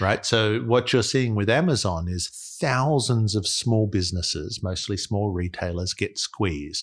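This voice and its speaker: Someone speaks at a fairly slow pace with lively intonation. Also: man, fairly low pitch for a man. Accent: Australian. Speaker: investor, fund manager. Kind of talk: interview.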